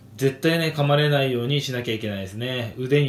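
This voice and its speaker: A man's pitch varies in an ordinary way against noticeable background noise. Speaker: cooking vlogger. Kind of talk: casual cooking tutorial chat. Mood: cheerful, joking. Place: kitchen. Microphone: phone near.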